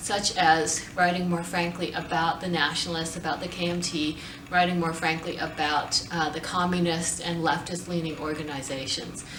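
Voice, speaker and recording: Against noticeable background noise, a woman speaks with an American accent. Her pitch is fairly low and her pace moderate. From United States. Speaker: university professor and center director. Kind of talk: interview answer.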